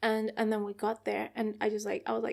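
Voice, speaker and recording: The voice is a woman's. It sits fairly high in pitch. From Colombia, Bogotá. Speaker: musician. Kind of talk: casual chat. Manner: casual with many fillers.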